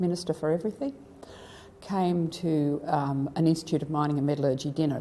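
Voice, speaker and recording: With an Australian accent, a woman speaks at a fairly quick pace in a very deep, low pitch, keeping her intonation fairly even. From rural New South Wales, Australia. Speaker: retired educator and former councillor. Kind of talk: oral history interview.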